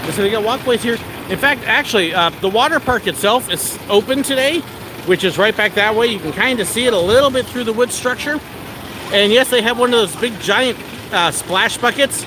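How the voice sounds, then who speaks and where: An animated tone with ordinary pitch variation moves at a fairly quick pace over noticeable background noise. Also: man, extremely high pitch for a man. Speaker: theme park vlogger, former park worker. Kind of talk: live stream walking tour. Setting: outdoors at an amusement park.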